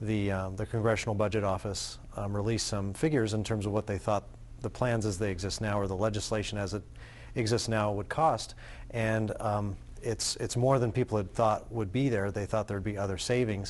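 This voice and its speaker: Moving at a fairly quick pace, a man speaks in a fairly low register with a plain, everyday voice. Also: fairly even intonation. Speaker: economic consultant. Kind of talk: TV panel discussion. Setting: TV studio. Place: studio. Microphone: lapel.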